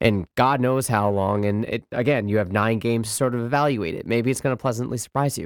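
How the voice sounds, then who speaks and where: On a very clean recording with a silent background, a man uses a normal speaking voice at medium pitch and a fairly quick pace. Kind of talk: casual sports talk. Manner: laughing, encouraging, conversational.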